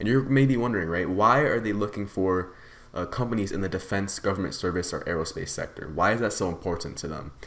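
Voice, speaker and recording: A man talks at a very fast pace in an animated tone. His pitch is fairly low. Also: ordinary pitch variation. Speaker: stock market YouTuber. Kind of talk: unscripted stock commentary video. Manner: halting, stuttering.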